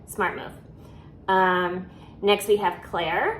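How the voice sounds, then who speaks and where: A woman speaks at a very slow pace, with audible room echo around her voice. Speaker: reality TV commentator. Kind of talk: casual episode review vlog. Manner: frequent filler ums.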